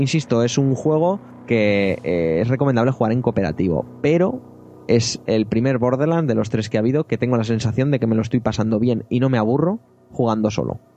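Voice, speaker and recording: A man's dark, mellow tone at a fairly quick pace, with very even loudness. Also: medium pitch for a man, ordinary pitch variation. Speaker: podcast host. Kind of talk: casual chat. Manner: animated.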